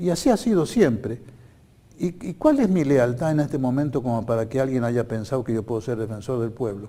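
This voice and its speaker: At a fairly quick pace, a man speaks in a medium pitch with a dark, mellow tone and ordinary pitch variation. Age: 80s+. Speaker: political candidate. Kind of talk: TV interview. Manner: halting.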